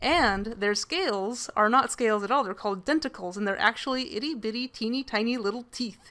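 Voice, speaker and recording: With music in the background, a woman talks at a fairly quick pace with hardly any pauses, her fairly high voice showing ordinary pitch variation. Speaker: guest co-player on a game stream. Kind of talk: reading aloud in-game text; casual chat. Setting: live game stream. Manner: halting, stumbles while reading.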